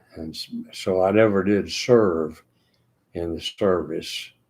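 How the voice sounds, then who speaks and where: In a Texan accent, a man speaks very slowly in a very deep, low voice with ordinary pitch variation, captured in a very clean recording against a silent background. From Texas, Austin. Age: 90s. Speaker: retiree sharing memories. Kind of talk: reminiscing monologue. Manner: halting.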